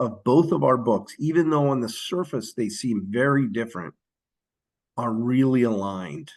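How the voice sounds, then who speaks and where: A man with a plain, everyday voice speaks at a fairly slow pace with an American accent, at a medium pitch with ordinary pitch variation. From US, Philadelphia. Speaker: social worker and author. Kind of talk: podcast interview.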